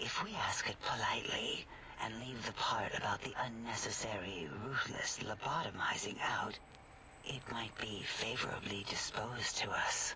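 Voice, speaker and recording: A man whispers in a put-on character voice. His pace is moderate. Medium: game stream. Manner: soft, soothing.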